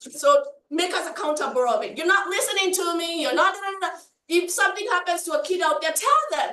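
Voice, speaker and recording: A woman's extremely high, raised and projected voice, bright and sharp, animated, with very wide pitch swings and an African accent. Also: fairly quick pace. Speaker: community panelist, parent. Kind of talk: panel discussion.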